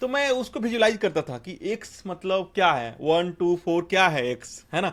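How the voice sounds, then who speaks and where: A high-pitched man at a moderate pace, with very wide pitch swings. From India, Bhojpuri-speaking village (Bihar/eastern UP). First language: Bhojpuri (speaking Hindi). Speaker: software engineer. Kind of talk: interview, life story.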